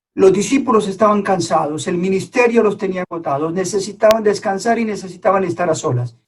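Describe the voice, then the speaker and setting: Speaking at a fairly quick pace with hardly any pauses, a man with a Colombian accent has a high pitch and ordinary pitch variation. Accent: Colombian accent, noticeable. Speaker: preacher. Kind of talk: sermon. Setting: online church service.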